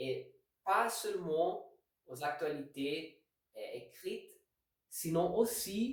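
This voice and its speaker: With audible room echo, a man talks very slowly with lively intonation. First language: not French (speaking French). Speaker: language learning video host. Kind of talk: tutorial. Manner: halting.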